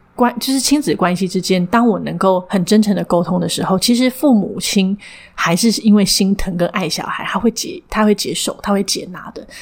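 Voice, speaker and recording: A woman's medium-pitched voice, with ordinary pitch variation, moves at a moderate pace against noticeable background noise. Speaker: counseling psychologist and clinic director. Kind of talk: interview. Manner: frequent hearty laughter.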